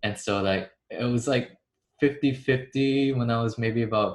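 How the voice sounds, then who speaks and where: Somewhat breathy, a man with an American accent speaks at a medium pitch with fairly even intonation. The recording is very clean, the background silent. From Texas, Dallas. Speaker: actor. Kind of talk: roundtable interview.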